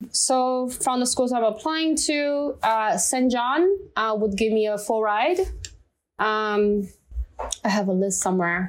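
At a very slow pace, a woman with a Chinese accent speaks at a fairly high pitch with lively intonation and very even loudness, in a very clean recording with a silent background. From China. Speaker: listener guest. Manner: halting.

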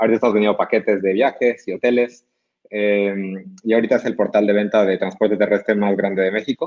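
Very fast, a man talks with very even loudness, fairly even intonation and a fairly low pitch. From Bolivia, Cochabamba. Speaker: tech entrepreneur. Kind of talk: book review presentation. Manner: halting, frequent repetitions.

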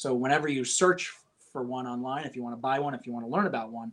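A man with an American accent speaks in a normal speaking voice with fairly even intonation. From upstate New York (Poughkeepsie). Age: 30s. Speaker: auction house executive. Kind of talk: podcast interview.

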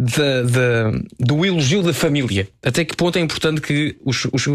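In a very clean recording with a silent background, a man with a normal speaking voice talks at a fairly slow pace, his fairly high pitch showing ordinary variation. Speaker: radio host. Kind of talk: casual chat.

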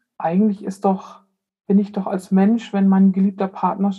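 A woman with a medium-pitched, somewhat breathy voice and a dark, mellow tone speaks at a fairly slow pace. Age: 50s. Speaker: death doula. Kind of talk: interview.

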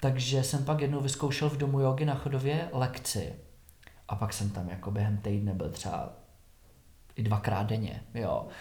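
A man speaks at a moderate pace and medium pitch, with ordinary pitch variation and audible room echo. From Czech Republic, Šumava region (southwest Bohemia). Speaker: yoga teacher. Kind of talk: casual interview about his life.

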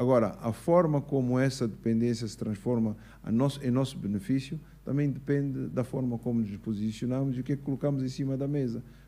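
His delivery is fairly quick. This man has a normal speaking voice. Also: medium pitch for a man, ordinary pitch variation. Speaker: businessman and engineer. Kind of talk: interview at live show. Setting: stage with audience.

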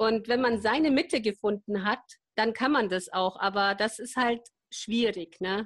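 In an ordinary speaking voice, a woman talks at a fairly slow pace with a fairly high pitch and ordinary pitch variation. The recording is very clean, with a silent background. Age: 50s. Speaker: sustainability practitioner, mother of four. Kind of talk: interview.

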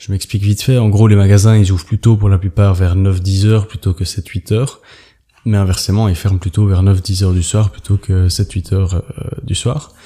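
A man's fairly low, somewhat breathy voice in a dark, mellow tone, with fairly even intonation. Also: moderate pace. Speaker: travel podcaster. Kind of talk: casual solo monologue. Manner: halting, many hesitations.

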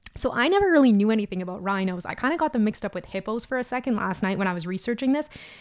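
A woman speaks very fast with an Albertan accent. Her intonation is lively. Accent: Canadian, Albertan. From Alberta, Canada. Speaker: podcast host. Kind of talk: casual comedic monologue. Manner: animated, jokey.

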